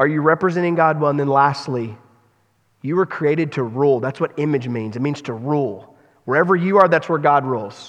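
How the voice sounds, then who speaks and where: A man with a plain, everyday voice, fairly high in pitch, at a fairly quick pace with ordinary pitch variation. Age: 40s. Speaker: pastor. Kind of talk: sermon. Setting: church.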